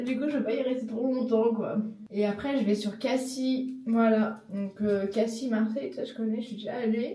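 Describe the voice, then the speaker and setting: Fairly high in pitch, a woman with a Parisian accent talks at a moderate pace with fairly even intonation. Audible room echo and noticeable background noise fill the recording. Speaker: travel vlogger. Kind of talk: casual vlog talk. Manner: hesitant, many fillers.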